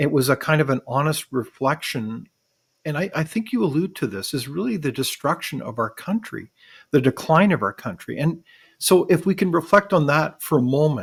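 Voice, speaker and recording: A man with a Canadian accent, fairly high-pitched and somewhat breathy, with lively intonation at a moderate pace on a very clean recording with a silent background. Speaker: podcast host. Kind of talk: interview.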